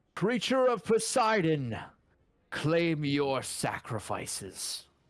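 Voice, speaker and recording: A man's put-on character voice, high-pitched, with very wide pitch swings and a very slow pace. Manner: ominous, commanding.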